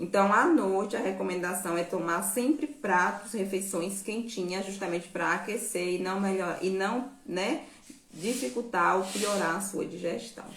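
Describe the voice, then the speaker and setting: Amid audible room echo and noticeable background noise, a woman speaks at a fairly slow pace with a medium pitch and ordinary pitch variation. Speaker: nutrition and herbal health educator. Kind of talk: live stream Q&A talk. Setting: live stream.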